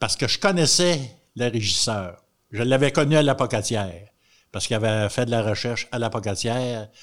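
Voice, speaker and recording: A man speaks in a plain, everyday voice at a medium pitch. His pace is moderate and his pitch varies in an ordinary way. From Quebec, Montréal. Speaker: retired agriculture teacher.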